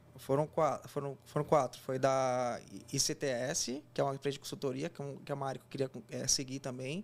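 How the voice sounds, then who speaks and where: A man with a fairly high pitch and monotone, flat intonation at a moderate pace, on a very clean recording with a silent background. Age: 20s. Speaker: engineer and job candidate. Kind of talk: casual interview.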